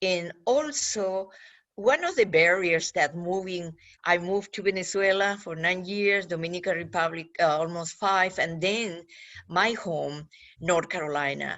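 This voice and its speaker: A woman with a Peruvian accent speaks at a fairly slow pace, her pitch varying in an ordinary way. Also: fairly low pitch for a woman. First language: Spanish. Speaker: government outreach official. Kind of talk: panel talk for students. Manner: halting.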